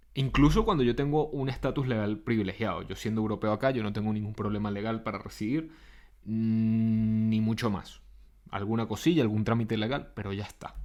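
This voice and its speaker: Speaking fairly quickly, a man keeps his intonation fairly even at a medium pitch. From Venezuela, Caracas. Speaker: podcaster and psychotherapist. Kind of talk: reflective monologue.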